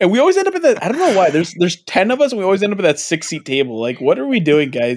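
A man's high-pitched, very fast delivery with very wide pitch swings and hardly any pauses. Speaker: podcast host. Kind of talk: casual banter. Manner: joking, profane.

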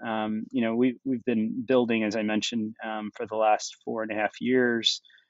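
A man with an American accent speaks at a medium pitch and fairly slow pace, his intonation monotone and flat. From United States. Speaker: tech startup founder. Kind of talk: interview. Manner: frequent fillers and hesitations.

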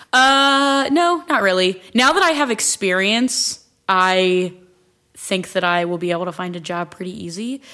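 Speaking fairly slowly, a woman uses an American accent and lively intonation. Her tone is bright and sharp. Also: medium pitch for a woman, very clean recording, silent background. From Ohio, US (Akron/Stow area). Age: 20s. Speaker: church ministry leader. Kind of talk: personal testimony in casual chat.

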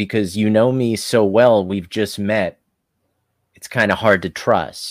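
With a plain, everyday voice, this man talks at a fairly slow pace, his fairly low pitch showing ordinary pitch variation. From South Africa, moved to US at six. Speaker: stand-up comedian. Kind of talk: comedic improv chat.

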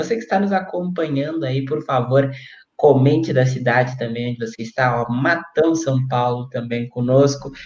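The voice is somewhat breathy. Pitch varies in an ordinary way. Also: man, medium pitch for a man, moderate pace. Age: 20s. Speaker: web radio host. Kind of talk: casual interview.

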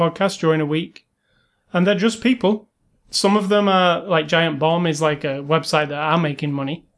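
A man with a British accent talks at a fairly quick pace with a high pitch and ordinary pitch variation. The background is quiet. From Britain. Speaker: podcast co-host. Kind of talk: casual chat.

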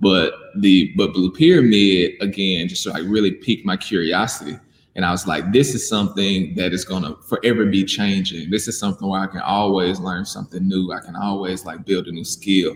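Fairly quick speech from a man with a Southern US accent, very deep and low in pitch, with fairly even intonation. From Mississippi, US South. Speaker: animator and business owner. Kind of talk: interview.

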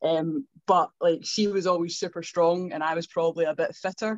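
A woman with a Scottish accent speaks at a fairly low pitch. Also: dry, close sound with no echo. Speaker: gym owner, fitness coach. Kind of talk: casual chat.

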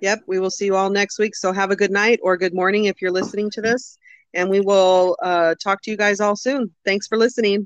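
A woman with an unremarkable speaking voice talks at a medium pitch and a fairly quick pace, keeping her intonation fairly even. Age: 50s. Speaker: podcast co-host. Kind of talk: casual chat.

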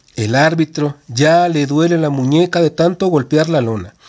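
In a very clean recording with a silent background, a man with fairly high pitch speaks in an animated tone at a fairly slow pace, with ordinary pitch variation. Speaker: podcast host reading a wrestling narrative. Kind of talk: reading aloud a wrestling match account, narrated play-by-play as if live commentary. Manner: animated, brisk blow-by-blow delivery that builds tension with short punchy phrases.

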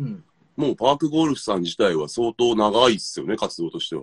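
A man with very wide pitch swings at a fairly quick pace, in a dry, close sound with no echo. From Saitama, Japan (Iruma). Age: 30s. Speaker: talk show host. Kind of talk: casual chat. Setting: remote video call. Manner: relaxed, frequent laughter.

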